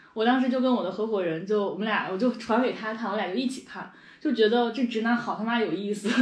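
The pace is very fast. Noticeable background noise runs underneath. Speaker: podcast and video host. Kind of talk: casual chat. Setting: recording over a meal.

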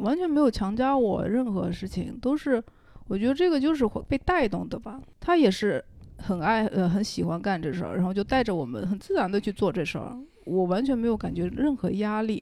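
Her voice has a dark, mellow tone and a fairly high pitch, and the woman moves through very wide pitch swings at a moderate pace. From Wenzhou, Zhejiang (Longwan). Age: young. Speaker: painter. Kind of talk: casual chat.

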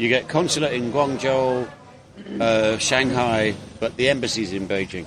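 Clearly audible background noise accompanies a man whose pitch shifts in an ordinary way. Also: medium pitch for a man, moderate pace. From England. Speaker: podcast co-host. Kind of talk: casual chat. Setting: cafe.

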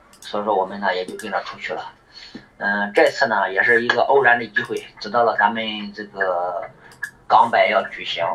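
Amid noticeable background noise, a man of medium pitch speaks at a moderate pace. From northern China. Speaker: amateur ultrarunner, army veteran. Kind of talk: voice message testimony.

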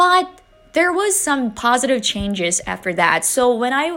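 A woman with a Chinese accent speaks at a moderate pace, her pitch swinging very widely. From China, Wuhan, Hubei. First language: Mandarin Chinese. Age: 30s. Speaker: podcast host. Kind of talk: casual monologue.

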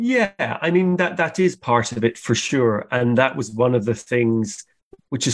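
With a Scottish accent, a man talks at a fairly slow pace in a medium pitch and ordinary pitch variation. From Scotland, countryside. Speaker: cartoonist and illustrator. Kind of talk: interview.

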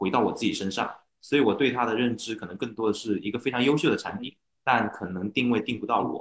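With fairly even intonation and a medium pitch, a man rattles along very fast. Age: 30s. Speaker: car owner, internet operations worker. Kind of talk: casual chat. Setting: online meeting.

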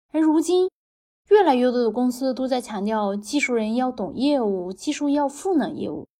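Her pitch high, a woman speaks with a dark, mellow tone. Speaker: podcast host, former tech team lead. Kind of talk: interview.

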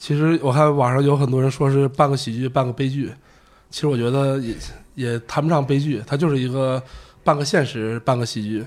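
Here a man speaks at a fairly quick pace in an unremarkable speaking voice. His pitch is medium and his intonation fairly even. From Shandong, China. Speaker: visual artist and photographer. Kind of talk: casual chat.

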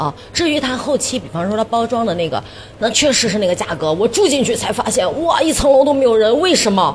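Amid noticeable background noise, a woman with a fairly high voice sounds animated, her pitch swinging very widely. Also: fairly quick pace. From northern Shaanxi, China. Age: 40s. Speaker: TV host and livestreamer. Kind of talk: casual chat. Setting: stage with live audience.

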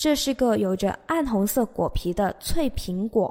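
A woman with a high-pitched voice and lively intonation speaks on a very clean recording with a silent background. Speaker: English teacher. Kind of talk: language lesson. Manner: repetitive, slow drilling of phrases.

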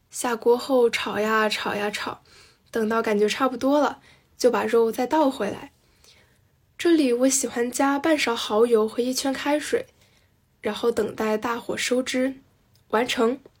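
A high-pitched woman speaks fairly slowly with fairly even intonation. She leaves long, frequent pauses. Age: young. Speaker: listener contributor. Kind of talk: reading aloud.

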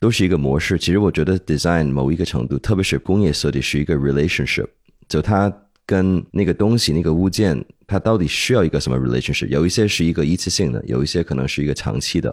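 A man's very deep, low voice at a very fast pace, with ordinary pitch variation and very even loudness. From Hong Kong. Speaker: podcast co-host. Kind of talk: casual interview chat.

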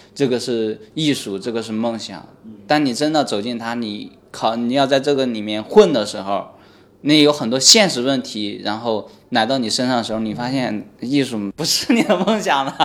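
A man at a moderate pace and medium pitch, with ordinary pitch variation. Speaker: stand-up comedian. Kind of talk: casual chat.

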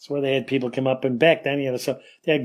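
A Western New York accent with fairly even intonation. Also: man. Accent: Western New York American. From US Northeast (Rochester, New York). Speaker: retired police officer and Air Force veteran. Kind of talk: interview storytelling. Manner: rambling, with many fillers.

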